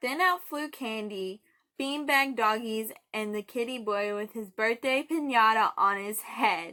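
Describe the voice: Quiet background, ordinary pitch variation, and plain reading aloud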